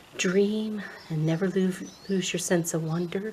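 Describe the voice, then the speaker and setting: Soft-spoken delivery with fairly even intonation. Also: woman. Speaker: ASMR creator. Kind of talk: soft-spoken ASMR show and tell.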